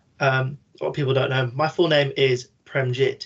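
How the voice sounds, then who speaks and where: A man talks at a moderate pace with a medium pitch. He has a British accent. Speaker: podcast panel guest. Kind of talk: panel discussion. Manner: frank.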